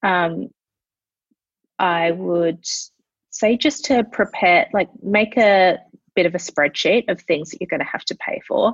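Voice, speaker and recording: Using an Australian accent, a woman talks at a medium pitch with lively intonation, a fairly slow pace and long, frequent pauses. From Adelaide, Australia. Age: 20s. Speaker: marketing specialist and founder. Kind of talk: casual chat.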